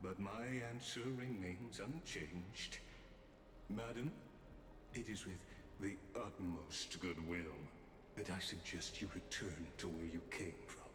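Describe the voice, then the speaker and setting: Through loud background noise and a slight echo, a man does a put-on character voice at a very deep, low pitch, speaking at a fairly slow pace with long, frequent pauses. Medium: video game. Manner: formal, measured, precise.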